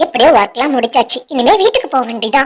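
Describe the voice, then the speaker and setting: A cartoonish character voice pitched high. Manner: casual, conversational.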